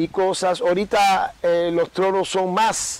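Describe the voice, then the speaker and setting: A man talks in a high voice whose pitch varies in an ordinary way. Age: 60s. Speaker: babalawo. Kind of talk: interview. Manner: halting.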